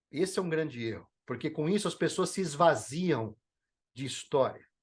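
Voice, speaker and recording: A man talks at a moderate pace with lively intonation and a fairly high pitch. The background is quiet. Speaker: motivational speaker and leadership trainer. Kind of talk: podcast interview. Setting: podcast. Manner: animated.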